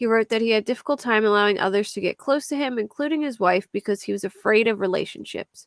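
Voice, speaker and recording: A woman talks at a very fast pace with ordinary pitch variation. Her fairly high voice sounds dry and close, with no echo. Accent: Philadelphia. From US Northeast, Philadelphia area. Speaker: true crime YouTuber. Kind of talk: casual livestream chat about crime cases.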